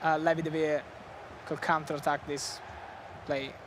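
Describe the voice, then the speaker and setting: Spoken at a fairly slow pace with an Italian accent, this clip carries noticeable background noise. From Italy. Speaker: esports commentator. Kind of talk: live commentary.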